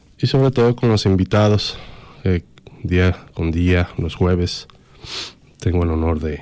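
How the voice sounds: Speaking at a fairly slow pace, a man has a low, nasal voice with a dark, mellow tone.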